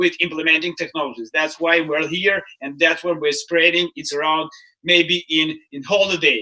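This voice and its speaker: A man's high-pitched voice with a non-native accent, fairly even intonation and a bright, sharp tone. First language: not English. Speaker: startup mentor and keynote speaker. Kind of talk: casual chat. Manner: halting.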